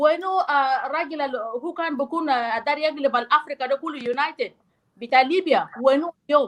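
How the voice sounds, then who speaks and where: Loud and high-pitched, a woman talks at a fairly quick pace. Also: ordinary pitch variation. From South Sudan. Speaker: discussion participant. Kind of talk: heated debate.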